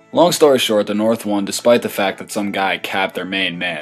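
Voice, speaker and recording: A man's fairly low voice with ordinary pitch variation, at a fairly quick pace, over music in the background. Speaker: student animator narrating his own satirical history video. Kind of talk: comedic satirical history narration. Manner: irreverent, sarcastic.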